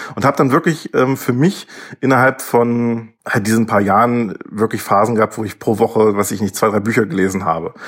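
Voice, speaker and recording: A man with an unremarkable speaking voice, moderate pace and ordinary pitch variation. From Lower Saxony, Germany. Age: 30s. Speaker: doctoral student in ancient history. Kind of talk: interview. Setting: video call.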